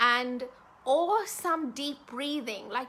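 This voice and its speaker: Bright and sharp yet calm in tone, a woman speaks at a fairly slow pace. Her pitch variation is ordinary. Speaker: love and dating coach. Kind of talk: casual live video talk. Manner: slowed, calm pace.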